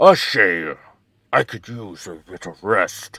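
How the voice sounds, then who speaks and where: In a raspy, put-on character voice, a man speaks at a fairly slow pace with a medium pitch. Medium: game stream. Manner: gruff, clipped.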